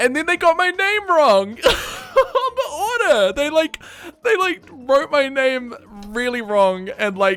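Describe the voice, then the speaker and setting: A man's pitch rises and falls very widely as he talks fairly slowly through noticeable background noise. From New Zealand. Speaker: streamer. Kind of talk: casual chat. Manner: casual, many fillers.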